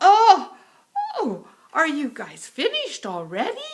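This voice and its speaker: Pitched extremely high, a woman does a put-on character voice at a fairly slow pace. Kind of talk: children's story voice. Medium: read story.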